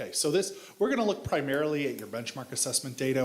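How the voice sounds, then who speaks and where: A man's fairly high voice at a very fast pace, with noticeable background noise behind it. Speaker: education data consultant. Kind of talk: presentation to school board. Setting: school board meeting.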